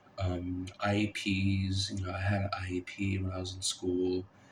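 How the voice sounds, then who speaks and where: The speaker is a man with a fairly low pitch. His voice is somewhat breathy. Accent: American. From Kansas, Lawrence. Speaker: college student vlogger. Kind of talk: casual vlog monologue. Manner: halting, many fillers; rambling, unscripted.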